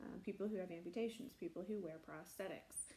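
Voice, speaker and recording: A woman with an American accent, somewhat breathy and dark, mellow in tone, very fast, with lively intonation. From US Midwest, South Central Nebraska. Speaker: prosthetist and orthotist. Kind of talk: personal story monologue. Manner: casual with frequent fillers.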